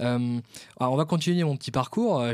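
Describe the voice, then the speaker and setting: At a moderate pace and medium pitch, a man uses a normal speaking voice with ordinary pitch variation. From France, Vendée. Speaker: podcast host and events company founder. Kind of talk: casual interview.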